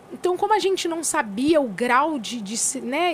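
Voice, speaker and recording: There's a woman talking. Background noise is clearly noticeable behind her. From São Paulo state interior, Brazil. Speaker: gospel singer. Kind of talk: casual interview chat.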